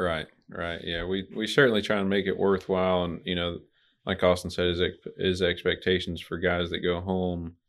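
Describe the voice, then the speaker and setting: In an Arkansas accent, a man speaks at a moderate pace with very deep, low pitch and monotone, flat intonation. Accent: Southern US (Arkansas). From Little Rock, Arkansas. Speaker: truck dispatcher. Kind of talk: casual interview.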